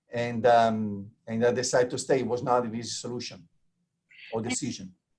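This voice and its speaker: A man with an Italian accent talks at a fairly quick pace. His medium-pitched voice stays monotone and flat. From Italy. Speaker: transplant surgeon. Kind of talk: interview. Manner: halting, many fillers.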